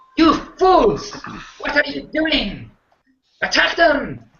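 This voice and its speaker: Shouting loudly in a put-on character voice, someone speaks at a very slow pace with a high pitch. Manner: shouting, commanding.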